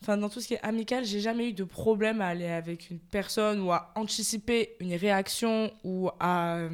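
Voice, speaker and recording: Over a very clean recording with a silent background, a woman speaks at a fairly slow pace and a fairly high pitch. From France, Marseille. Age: 20s. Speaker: communications graduate, podcast guest. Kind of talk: casual chat. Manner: hesitant, many fillers, laughs often.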